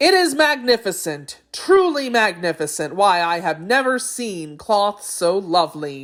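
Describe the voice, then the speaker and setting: A female-sounding voice at a middle pitch puts on a character voice. The recording is very clean, with a silent background. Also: moderate pace, hardly any pauses. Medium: read story.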